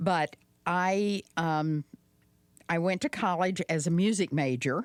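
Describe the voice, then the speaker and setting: A woman with a slight Southern US accent and a fairly low pitch, at a very slow pace with ordinary pitch variation and very even loudness, in a dry, close sound with no echo and a very clean recording with a silent background. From Arkansas. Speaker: podcast guest. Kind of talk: casual chat.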